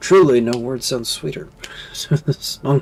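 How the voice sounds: Natural reading voice, pitch varying in an ordinary way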